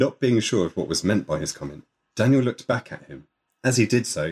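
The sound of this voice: In a quiet background, an unforced reading voice is heard.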